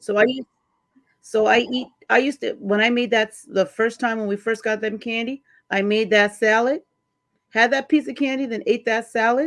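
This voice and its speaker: A woman has an unremarkable speaking voice, pitched fairly high. Her intonation is fairly even, while her loudness swings a lot. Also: moderate pace. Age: 30s. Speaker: panel guest. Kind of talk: casual live panel chat.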